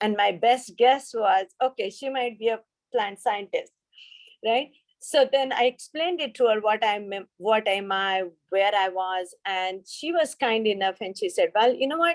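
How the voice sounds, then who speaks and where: A woman speaks fairly slowly with an Indian accent. Her pitch is fairly high and her intonation lively. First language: an Indian language. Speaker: pharmaceutical research scientist. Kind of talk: panel discussion. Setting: video call. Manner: hesitant, many fillers.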